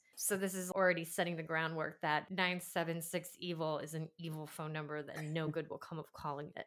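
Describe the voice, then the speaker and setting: On a very clean recording with a silent background, a woman with a fairly low voice speaks at a moderate pace in an animated tone, with hardly any pauses. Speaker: podcast host. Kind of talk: casual banter and movie recap. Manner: animated, joking.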